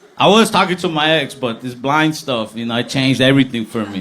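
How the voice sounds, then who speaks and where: A man's fairly high voice, delivered quickly and with lively intonation, comes through noticeable background noise. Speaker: stand-up comedian. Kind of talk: live stand-up comedy set.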